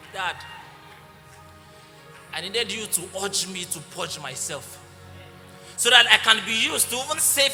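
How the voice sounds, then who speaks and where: Over music in the background, a man with a high-pitched voice speaks at a moderate pace with lively intonation. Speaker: spoken word poet. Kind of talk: spoken word poetry performance.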